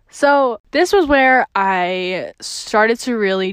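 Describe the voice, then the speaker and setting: Speaking very slowly, a woman uses a fairly high voice with very wide pitch swings. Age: 20s. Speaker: podcast host. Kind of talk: casual monologue. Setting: home. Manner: casual, filler-heavy.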